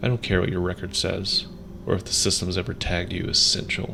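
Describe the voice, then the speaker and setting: There is noticeable background noise behind a man with a very deep, low pitch. He talks at a moderate pace with ordinary pitch variation. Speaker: ASMR creator. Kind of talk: soft-spoken supportive ASMR letter, sleep-style relaxation narration. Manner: soft-spoken, gentle, calm.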